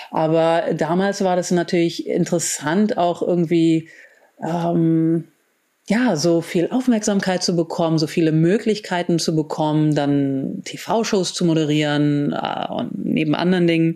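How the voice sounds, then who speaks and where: A woman's fairly low, dark and mellow voice, fairly slow, with ordinary pitch variation and very even loudness. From grew up abroad in several countries, German diplomat family. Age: 40s. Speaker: biohacker and wellness entrepreneur. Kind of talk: interview. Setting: video call.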